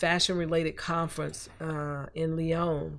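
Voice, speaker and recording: A woman with a Southern US accent and fairly even intonation, on a very clean recording against a silent background. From US South, Columbus, Georgia. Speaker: artist and former fashion design professor. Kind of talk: interview.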